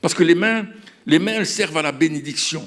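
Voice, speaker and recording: This man talks with ordinary pitch variation. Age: 70s. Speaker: pastor. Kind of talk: sermon. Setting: stage with audience. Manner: halting.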